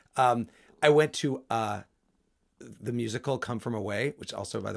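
In a very clean recording with a silent background, a man with an American accent speaks at a medium pitch with ordinary variation and vocal fry. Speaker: podcast host. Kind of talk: casual chat. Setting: studio.

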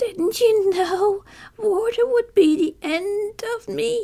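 A woman speaks in a put-on character voice at an extremely high pitch. Her pace is very slow. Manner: wailing, desperate.

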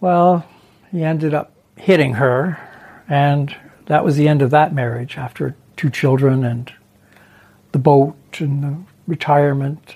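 Fairly slow and with long, frequent pauses, a man with a Canadian accent speaks at a fairly high pitch in a dark, mellow, somewhat breathy tone with fairly even intonation. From Ontario, Canada. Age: 60s. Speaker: guest sharing family addiction story. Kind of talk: interview testimony.

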